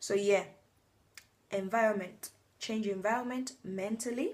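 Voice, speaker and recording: Here a woman is talking at a medium pitch. Her intonation stays fairly even. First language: a non-English native language. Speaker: vlogger. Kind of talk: motivational talk to camera. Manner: hesitant, many fillers and restarts.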